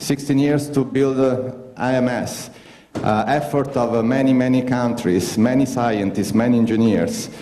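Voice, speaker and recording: With an Italian accent, a man speaks at a fairly slow pace and medium pitch, keeping fairly even intonation and very even loudness. Audible room echo and noticeable background noise fill the recording. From Italy. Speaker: astronaut. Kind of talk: conference talk. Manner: halting.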